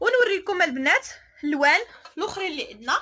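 Raising and projecting her voice, a woman speaks at an extremely high pitch with a bright, sharp tone and very wide pitch swings. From Morocco. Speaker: online clothing seller and vlogger; online clothing seller, vlogger. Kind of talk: product showcase vlog. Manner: animated. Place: shop. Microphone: phone near.

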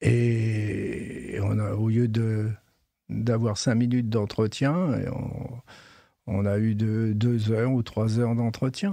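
Speaking very slowly, a man keeps his medium pitch and fairly even intonation. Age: 70s. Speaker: retired head gardener. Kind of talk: interview. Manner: halting.

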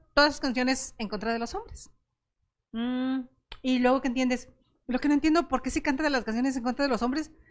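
A woman's high-pitched voice. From Querétaro, Mexico; Mexico. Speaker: talk show host; show host. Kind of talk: interview conversation; program introduction. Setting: studio. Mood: warm, friendly. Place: studio. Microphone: handheld.

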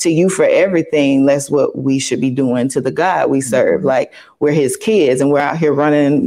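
A woman with a Southern US accent and a dark, mellow tone, at a moderate pace against a quiet background. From US South. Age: 40s. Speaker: pastor's wife. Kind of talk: casual interview. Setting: studio. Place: studio. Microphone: lapel.

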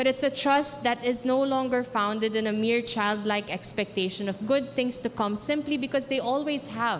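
Over light background noise, a woman speaks at a high pitch and a moderate pace, with very even loudness, ordinary pitch variation and hardly any pauses. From Philippines. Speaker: graduation speaker. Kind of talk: graduation commencement speech, earnest and inspirational, delivered to a live audience. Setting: stage with audience in a covered court. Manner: earnest, persuasive; confident, motivational. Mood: earnest, inspirational. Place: hall. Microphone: podium.

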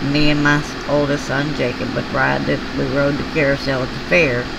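A woman with a Southern US accent over loud background noise. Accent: Southern US drawl. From US South. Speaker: craft hobby YouTuber. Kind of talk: casual chat. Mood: tender when remembering son. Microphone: phone near.

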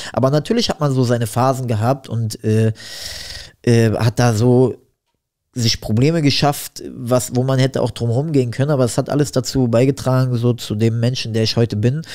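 The voice has a dark, mellow tone and very even loudness. It moves at a moderate pace with fairly even intonation. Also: man, medium pitch for a man. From Berlin-Neukölln. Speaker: rapper and boxing coach. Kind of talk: casual interview chat.

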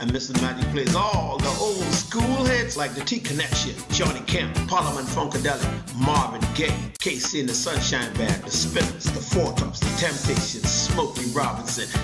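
A man talks at a moderate pace with hardly any pauses. Loud music plays behind him. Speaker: radio show host, DJ. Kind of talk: radio show host air check. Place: studio. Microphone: studio mic.

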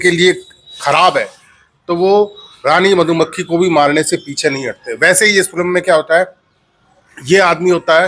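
At a fairly slow pace, a man speaks in a high pitch with fairly even intonation. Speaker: film reviewer. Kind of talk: casual film review chat. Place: home room. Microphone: lapel.

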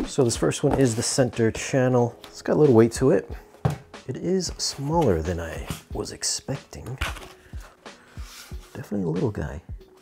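The speaker keeps a moderate pace. Faint music can be heard in the background. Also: man. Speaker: product reviewer. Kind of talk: product review commentary. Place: home room. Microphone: lapel.

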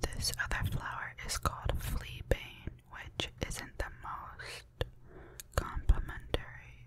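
Very slow whispering from a woman, with noticeable background noise behind her. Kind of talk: casual talk to camera. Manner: soft-spoken.

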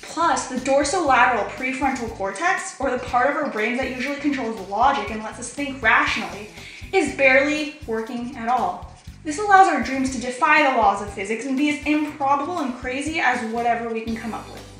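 A woman with a high voice talks at a fairly quick pace with ordinary pitch variation and big swings in loudness, with audible room echo and faint background music. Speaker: narrator. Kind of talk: educational explainer voice-over. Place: bathroom.

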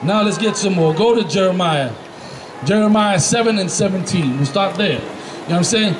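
A man's high-pitched voice at a moderate pace amid noticeable background noise. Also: ordinary pitch variation. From US Northeast, the Bronx, New York (Puerto Rican). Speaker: religious street teacher. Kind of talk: street sermon with scripture teaching. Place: street.

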